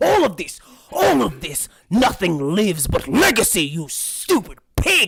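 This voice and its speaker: A man's put-on character voice, menacing in tone, at a moderate pace. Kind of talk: dramatic, pompous. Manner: menacing, indignant.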